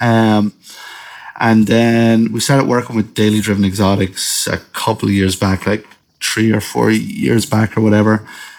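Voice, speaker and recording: In an Irish accent, the speaker talks in a monotone, flat intonation with very even loudness. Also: man, fairly low pitch for a man, moderate pace. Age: 30s. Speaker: professional drift driver. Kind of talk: casual chat.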